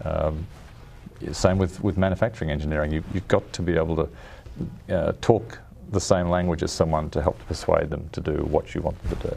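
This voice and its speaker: Speaking at a fairly quick pace in an Australian accent, a man with a very deep, low pitch keeps his intonation fairly even. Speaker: car design executive. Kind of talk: interview. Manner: halting, many restarts.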